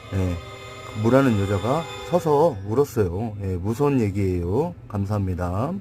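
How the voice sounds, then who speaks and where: The speech moves at a fairly slow pace, with music playing in the background. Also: man, fairly low pitch for a man, lively intonation. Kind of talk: humorous pun story told to camera.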